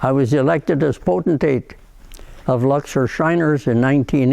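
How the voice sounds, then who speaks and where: Dark and mellow in tone, a man speaks at a fairly slow pace with fairly even intonation. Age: 80s+. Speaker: retired freemason. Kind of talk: personal testimony, partly read from prepared text.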